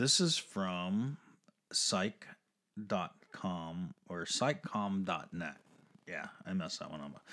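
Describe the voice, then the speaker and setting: Very slowly, a man with a very deep, low pitch delivers his words in lively intonation. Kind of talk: casual chat.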